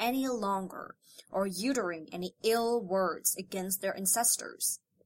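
A woman talks at a moderate pace in an ordinary speaking voice. Her intonation is lively. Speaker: audiobook narrator. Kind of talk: audiobook narration, scripted reading of a biography. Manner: steady, measured, formal; solemn, reverent pace.

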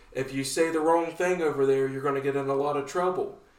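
Audible room echo colors the recording. A man does the talking. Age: 30s. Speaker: podcast co-host. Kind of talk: casual chat. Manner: animated.

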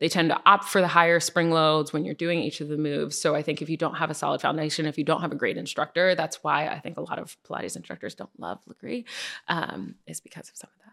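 Very deep and low in pitch, a woman with an American accent talks at a very fast pace with hardly any pauses, a bright, sharp tone, vocal fry and big swings in loudness, on a very clean recording with a silent background. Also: ordinary pitch variation. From US Northeast, Connecticut. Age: 30s. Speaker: fitness instructor and social media creator. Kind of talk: casual interview.

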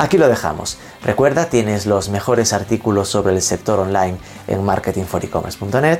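Over noticeable background noise, a man talks at a fairly quick pace with a fairly low pitch and lively intonation. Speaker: podcast host. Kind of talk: scripted intro and ads; interview.

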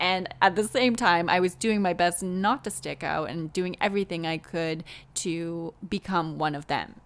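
Here is a woman with a plain, everyday voice at medium pitch. She speaks at a fairly slow pace with ordinary pitch variation. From Canada. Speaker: podcast host and author. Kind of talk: solo podcast monologue.

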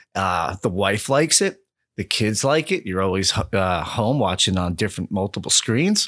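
With an American accent, a man speaks at a fairly slow pace with very wide pitch swings, the sound dry and close with no echo on a very clean recording with a silent background. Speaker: podcast co-host. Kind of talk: casual sports chat.

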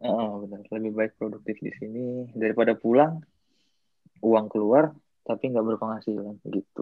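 Using a plain, everyday voice, a man with medium pitch speaks at a moderate pace with fairly even intonation and big swings in loudness. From Indonesia. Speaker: Indonesian student abroad. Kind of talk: casual chat.

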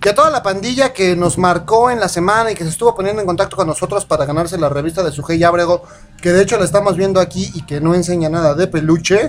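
The speech moves at a very fast pace. The pitch varies in an ordinary way. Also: man, high pitch for a man. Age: 20s. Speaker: internet radio host. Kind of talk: casual chat.

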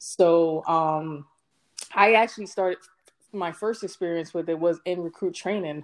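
A woman with an American accent and a normal speaking voice talks at a moderate pace, fairly low in pitch and with fairly even intonation. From Brooklyn, New York. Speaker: Marine Corps veteran. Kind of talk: casual chat. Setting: internet call.

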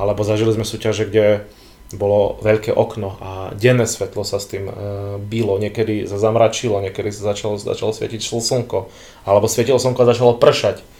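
A man's somewhat breathy, dark and mellow voice, fairly quick and flat in a monotone. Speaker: physician and bodybuilding photographer. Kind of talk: casual chat.

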